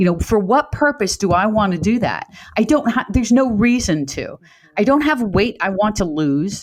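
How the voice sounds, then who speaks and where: A woman with a plain, everyday voice talks at a moderate pace. Her fairly high pitch carries lively intonation. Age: 60s. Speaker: fitness coach. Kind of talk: casual chat.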